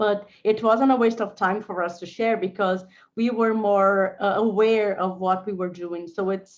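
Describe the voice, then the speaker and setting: Over a quiet background, a woman with a Portuguese accent speaks at a fairly slow pace, her medium pitch moving with fairly even intonation. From Brazil. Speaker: lawyer and legal innovator. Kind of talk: panel discussion. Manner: halting, repetitive.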